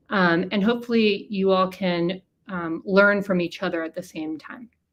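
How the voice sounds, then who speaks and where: A woman speaks at a moderate pace with a medium pitch. Her intonation stays fairly even while her loudness swings widely. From born in Argentina, grew up in the US. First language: Spanish. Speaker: education researcher, former ESL teacher. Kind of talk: webinar presentation. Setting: live-streamed webinar. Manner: frequent fillers (um, uh).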